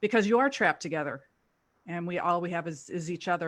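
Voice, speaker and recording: With an American accent, a woman talks at a fairly quick pace in an ordinary speaking voice at medium pitch. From US South, Louisville, Kentucky. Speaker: actor. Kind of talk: panel discussion.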